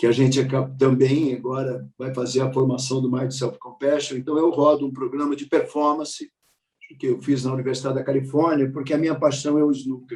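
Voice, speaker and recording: Using monotone, flat intonation, a man speaks at a fairly high pitch. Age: 60s. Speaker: meditation teacher and mindfulness coach. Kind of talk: panel talk, personal life story. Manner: halting, with frequent repetitions.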